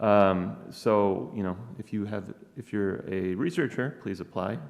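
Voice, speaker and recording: The speech unfolds at a fairly slow pace. Its pitch varies in an ordinary way. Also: man, fairly low pitch for a man. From Wisconsin. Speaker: professor. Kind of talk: conference talk. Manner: hesitant, many fillers.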